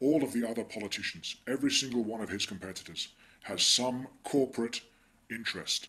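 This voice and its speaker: The speech moves at a moderate pace in an English accent. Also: man. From England. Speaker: political commentator. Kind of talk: video monologue.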